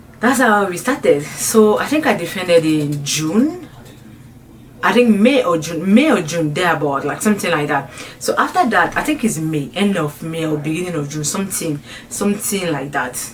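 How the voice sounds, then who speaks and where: A woman with lively intonation talks at a moderate speed, with noticeable background noise and audible room echo around her. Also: fairly low pitch for a woman. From French-speaking country. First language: French. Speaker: YouTuber. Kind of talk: casual vlog storytelling. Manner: halting.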